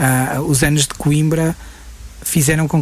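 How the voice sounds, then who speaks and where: A man's monotone, flat delivery over noticeable background noise. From northern Portugal, Guimarães. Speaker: film director. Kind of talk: interview. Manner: halting, many repetitions.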